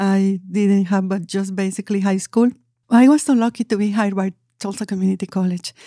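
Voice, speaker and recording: A woman speaks at a medium pitch and a fairly quick pace with a Spanish accent, her intonation fairly even. Her tone is dark and mellow, and the recording is very clean, dry and close, with a silent background and no echo. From Mexico City, Mexico. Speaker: community college outreach manager. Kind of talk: interview.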